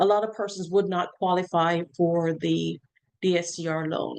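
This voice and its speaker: A woman at a medium pitch, fairly slow in pace, with ordinary pitch variation. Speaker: mortgage loan officer. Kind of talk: online webinar lecture. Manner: hesitant, many filler ums.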